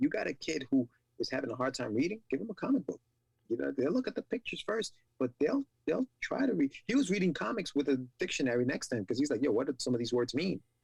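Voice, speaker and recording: A man's fairly high, somewhat breathy voice at a very fast pace with very wide pitch swings, in a dry, close sound with no echo. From Ecuador. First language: Spanish. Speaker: podcast host. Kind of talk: casual interview chat.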